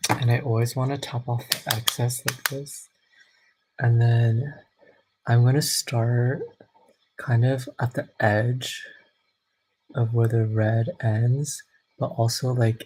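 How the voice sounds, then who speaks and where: Soft-spoken and somewhat breathy, the voice moves at a very slow pace with long, frequent pauses and fairly even intonation. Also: man, medium pitch for a man. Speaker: makeup vlogger. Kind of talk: tutorial.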